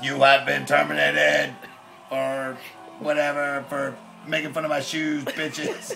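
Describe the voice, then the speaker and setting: A man's fairly high put-on character voice at a moderate pace, broken by long, frequent pauses, over clear background noise. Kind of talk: comic character voice. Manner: robotic, deadpan. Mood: mock angry, insulting.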